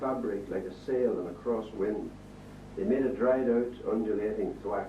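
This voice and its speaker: A man with a Northern Irish accent talks at a fairly slow pace in a medium pitch, with noticeable background noise behind him. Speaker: poet. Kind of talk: poetry reading. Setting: live reading before an audience.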